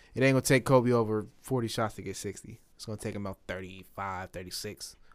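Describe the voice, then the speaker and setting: A man at a very fast pace and fairly low pitch, with ordinary pitch variation, big swings in loudness and a very clean recording, silent background. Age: 20s. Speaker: podcast co-host. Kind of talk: casual chat.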